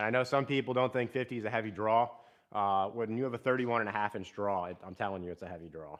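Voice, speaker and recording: This man talks at a very fast pace with a Central Pennsylvania accent. His pitch variation is ordinary. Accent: Central Pennsylvania American. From South Central Pennsylvania, Harrisburg region. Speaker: bowhunter, live streamer. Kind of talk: casual live stream chat. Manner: casual, filler-heavy; loud.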